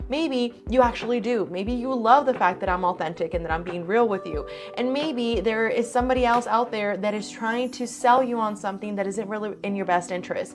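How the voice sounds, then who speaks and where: Over noticeable background noise, a woman talks at a fairly quick pace with hardly any pauses. Her pitch is fairly high. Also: ordinary pitch variation. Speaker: real estate agent. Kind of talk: informational talk to camera. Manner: fast.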